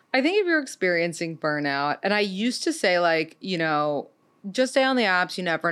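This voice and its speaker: A woman uses a plain, everyday voice, fairly low in pitch, with lively intonation at a moderate pace. The recording is very clean, with a silent background. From New York City. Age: 30s. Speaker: dating podcast host. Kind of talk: casual interview chat. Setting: studio.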